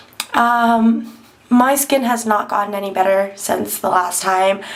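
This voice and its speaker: A woman speaks with fairly even intonation. Noticeable background noise and audible room echo surround her voice. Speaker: beauty vlogger. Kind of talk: tutorial. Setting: bathroom at home. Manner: hesitant, many ums.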